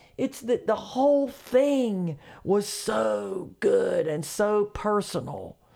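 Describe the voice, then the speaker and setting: A woman with a Southern accent at a very slow pace. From US South, North Carolina. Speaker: comedian. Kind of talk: casual chat.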